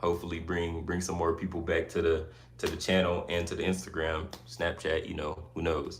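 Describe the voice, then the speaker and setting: A man's very deep, low voice at a moderate pace, with audible room echo. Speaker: YouTuber live streamer. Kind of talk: casual live stream chat. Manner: casual, chatty.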